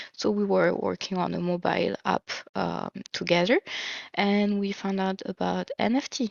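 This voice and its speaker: In a strong French accent, a woman speaks at a moderate pace. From France. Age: 30s. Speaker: project manager and NFT co-founder. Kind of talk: interview.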